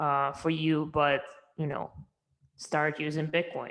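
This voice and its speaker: This woman's pitch is very deep and low, and her intonation stays flat and monotone. She speaks at a moderate pace with a Russian accent. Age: young. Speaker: entrepreneur. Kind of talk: interview.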